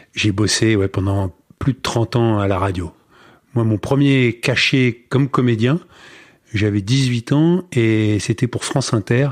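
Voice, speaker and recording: Over a quiet background, a man speaks very slowly at medium pitch with ordinary pitch variation and very even loudness, in a dry, close sound with no echo. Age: 60s. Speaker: former radio broadcaster and actor. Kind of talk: casual interview.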